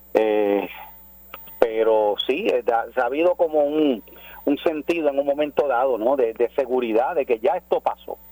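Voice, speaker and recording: A man talks at a fairly slow pace with a fairly high pitch, ordinary pitch variation and very even loudness. The sound is dry and close with no echo, and there's noticeable background noise. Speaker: pastor. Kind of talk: radio interview by phone.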